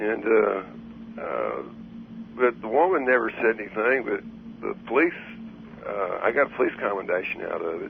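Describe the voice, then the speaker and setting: A man with a Texan accent, at a moderate pace with long, frequent pauses, over noticeable background noise. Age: 60s. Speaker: caller. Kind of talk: call-in radio conversation. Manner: halting.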